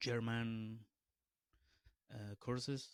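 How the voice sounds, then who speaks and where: With a Peruvian accent, a man talks in monotone, flat intonation. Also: dry, close sound with no echo, very clean recording, silent background. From Peru, northern Lima. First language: Spanish. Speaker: beatboxer. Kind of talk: podcast interview. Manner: halting, many fillers and restarts.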